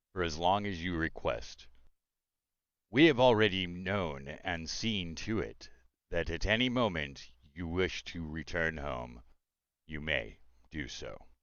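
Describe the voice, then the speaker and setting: Doing a put-on character voice, a man with a very deep, low pitch and lively intonation talks at a fairly slow pace with long, frequent pauses. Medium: actual play. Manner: formal, gracious.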